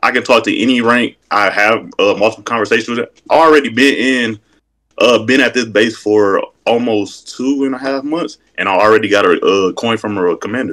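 Against a quiet backdrop, a man talks with an American accent. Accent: country-sounding speech. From Wisconsin, by way of North Carolina. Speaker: caller. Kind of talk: interview answer. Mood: self-assured, boasting. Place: home room. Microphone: video call.

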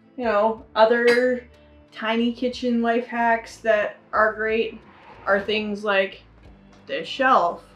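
A woman's very slow, monotone delivery with flat intonation, faint music in the background. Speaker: vlogger showing kitchen tips. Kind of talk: casual tutorial. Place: kitchen. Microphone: camera far.

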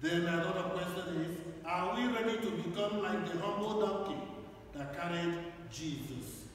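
With strong room echo and light background noise, a man with a high pitch speaks at a moderate pace and ordinary pitch variation. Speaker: priest. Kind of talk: scripture reading, Gospel proclaimed aloud in liturgy; liturgical blessing and homily. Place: church.

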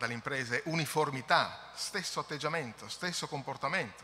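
Light background noise sits behind a man's voice. His pitch is fairly high, with ordinary variation. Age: middle-aged. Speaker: environmental agency technical director; conference presenter. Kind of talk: conference presentation. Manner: halting. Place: hall. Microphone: podium.

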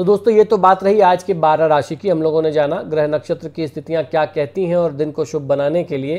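With ordinary pitch variation and hardly any pauses, a man speaks at a moderate pace. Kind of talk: daily horoscope and remedies talk. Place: home room.

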